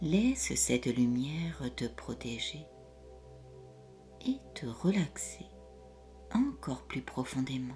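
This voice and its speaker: Over music in the background, a woman speaks in a soothing tone at a very slow pace, leaving long, frequent pauses. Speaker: hypnotherapist. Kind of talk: guided hypnosis session. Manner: slow, soothing.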